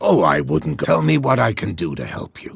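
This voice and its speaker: Putting on a character voice, a raspy man with a very deep, low pitch talks at a fairly quick pace with very wide pitch swings. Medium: video game. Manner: warm, folksy.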